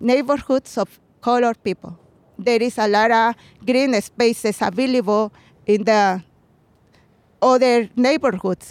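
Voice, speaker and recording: A woman speaks in a fairly high voice with a Mexican accent. Her pace is fairly slow, and her pitch varies in an ordinary way. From Mexico, Puebla. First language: Spanish. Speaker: community gardener and butterfly conservation activist. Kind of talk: interview. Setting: outdoors.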